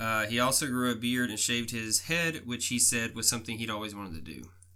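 A man speaks at a moderate pace in a medium pitch, his tone bright and sharp, with ordinary pitch variation. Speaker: podcast host. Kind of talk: casual chat.

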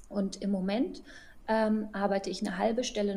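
Somewhat breathy speech at a moderate pace. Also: woman. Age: 30s. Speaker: physician. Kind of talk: interview.

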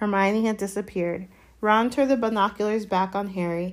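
An unforced voice reading aloud, its intonation fairly even

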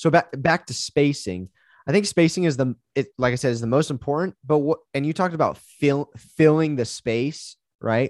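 A man with a fairly high pitch and ordinary pitch variation has an unremarkable speaking voice. The sound is dry and close with no echo, over a quiet background. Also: moderate pace. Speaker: high school basketball coach. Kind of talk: casual Q&A conversation.

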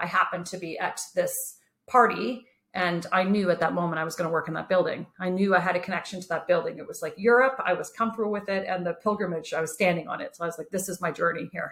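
Speaking very fast with a Canadian accent, a woman of medium pitch shows ordinary pitch variation and big swings in loudness. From Kitchener-Waterloo, Ontario, Canada. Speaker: entrepreneur. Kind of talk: casual interview.

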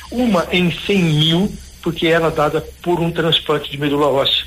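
Amid noticeable background noise, a man with a fairly high voice speaks at a moderate pace with ordinary pitch variation. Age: 50s. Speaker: professor and charity founder. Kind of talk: radio interview. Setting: phone call.

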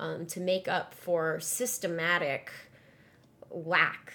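A woman speaks slowly in a fairly low pitch with little pitch movement and a bright, sharp tone.

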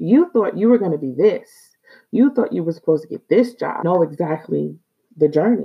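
A woman with an American accent speaks at a moderate pace in a fairly low pitch, her lively intonation running through vocal fry. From New York City, South Bronx. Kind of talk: casual devotional talk. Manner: animated.

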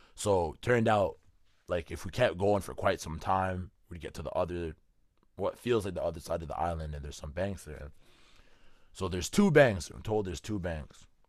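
Speaking at a moderate pace with a very deep, low pitch, a man shows ordinary pitch variation and big swings in loudness on a very clean recording with a silent background. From Canada. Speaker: podcast host. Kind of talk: casual chat.

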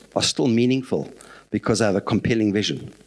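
A normal speaking voice from a man, medium in pitch, at a moderate pace with ordinary pitch variation. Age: 60s. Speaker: lay preacher. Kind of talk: sermon.

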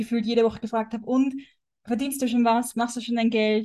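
A woman talks at a fairly high pitch. Her intonation stays monotone and flat. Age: 20s. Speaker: wellness coach. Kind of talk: casual chat.

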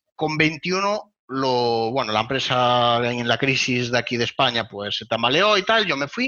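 Lively intonation marks a man's medium-pitched voice. He talks at a fairly slow pace against a quiet background. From Spain. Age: 20s. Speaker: web performance consultant. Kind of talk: interview.

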